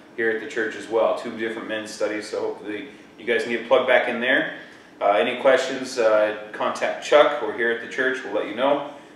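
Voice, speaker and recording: Loudness swings widely as a man talks at a fairly quick pace, with audible room echo and light background noise. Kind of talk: church announcements. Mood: upbeat, friendly. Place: church. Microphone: camera far.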